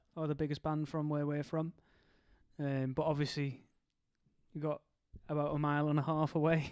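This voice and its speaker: On a very clean recording with a silent background, a man with a fairly high voice talks at a fairly quick pace in a flat monotone, leaving long, frequent pauses. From northwest England, the Wirral near Liverpool. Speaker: live stream co-host. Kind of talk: casual live watch-along commentary.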